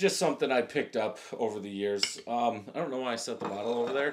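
Noticeable background noise runs under this recording. A man speaks over it at a very fast pace. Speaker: beer reviewer. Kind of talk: casual review chat. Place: home room.

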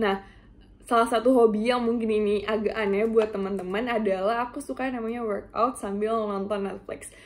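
A woman with an unremarkable speaking voice talks at a fairly quick pace, her fairly high pitch held in fairly even intonation. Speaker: university student. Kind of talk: self-introduction presentation. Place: home room. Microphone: webcam.

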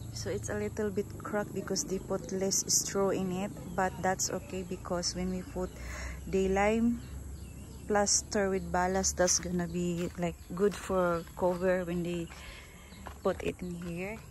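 A woman speaks at a fairly slow pace. The sound is dry with no echo, and there is light background noise. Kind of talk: casual vlog chat. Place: garden. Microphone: phone near.

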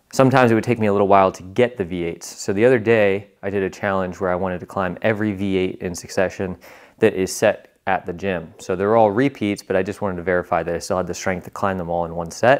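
Speaking at a very fast pace with hardly any pauses, a man uses a very deep, low voice and fairly even intonation. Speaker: vlogger. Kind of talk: casual vlog chat. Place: gym. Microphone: lapel.

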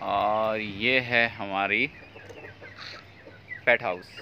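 A man's voice over faint background noise.

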